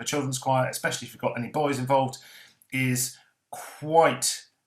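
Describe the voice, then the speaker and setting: The speaker is a man. His pitch sits at a medium level. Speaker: director of a church music organisation. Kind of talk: panel discussion. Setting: video call. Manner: fast.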